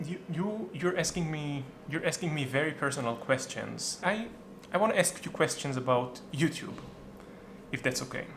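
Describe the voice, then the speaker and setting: A man with an Israeli accent and fairly high pitch speaks at a moderate pace with ordinary pitch variation amid noticeable background noise. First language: Hebrew. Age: 30s. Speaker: YouTuber. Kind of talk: casual chat.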